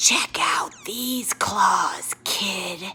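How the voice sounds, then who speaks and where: A raspy put-on character voice comes out as a whisper. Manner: menacing, taunting.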